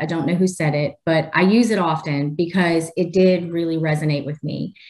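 Over noticeable background noise, a woman with a fairly low pitch talks at a moderate pace. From New Orleans, Louisiana. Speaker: technology leader. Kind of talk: interview.

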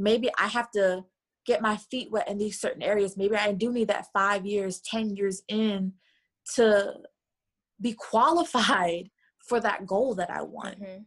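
A woman speaks at a fairly slow pace in a medium pitch, with an ordinary speaking voice. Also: ordinary pitch variation. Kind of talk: interview conversation.

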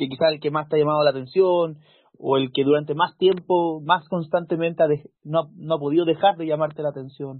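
Speaking at a fairly quick pace, a man uses a fairly high pitch and a flat, monotone intonation. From Chile, Valparaíso region. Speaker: podcast host. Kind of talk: casual chat.

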